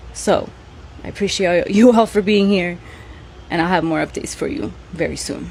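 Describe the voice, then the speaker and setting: A woman speaks at a moderate pace with a Spanish accent. Her tone is animated. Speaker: podcast host. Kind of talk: casual monologue.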